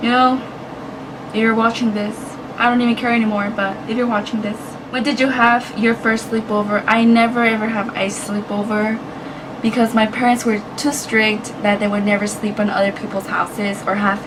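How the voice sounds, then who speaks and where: Over noticeable background noise and audible room echo, a woman talks at a moderate pace in a fairly high, monotone voice with flat intonation. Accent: Spanish. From United States, Mexican-American family. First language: Spanish. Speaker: YouTuber. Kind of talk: casual vlog. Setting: indoors, hot room.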